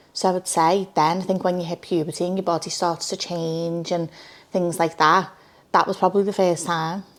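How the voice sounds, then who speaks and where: The speaker has a Liverpool accent and a monotone, flat intonation at a fairly quick pace. The recording is very clean, with a silent background. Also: woman. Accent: Scouse. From Liverpool, England. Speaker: social media creator. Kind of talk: interview. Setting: studio. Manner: loud.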